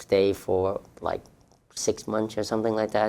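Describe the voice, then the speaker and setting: A man speaks with a Vietnamese accent. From southern Vietnam. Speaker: refugee telling life story, city employee. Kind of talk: personal testimony. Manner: hesitant, many fillers and repetitions.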